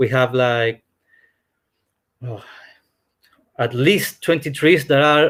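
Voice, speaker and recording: A man with a Spanish accent, at a very slow pace. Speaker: hotel representative. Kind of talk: presentation. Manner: halting.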